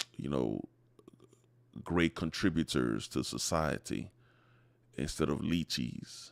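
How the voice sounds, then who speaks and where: A man's very deep, low voice with vocal fry and very wide pitch swings, at a very slow pace. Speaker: men's issues vlogger. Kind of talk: monologue vlog. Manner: halting, many fillers; impassioned, pleading.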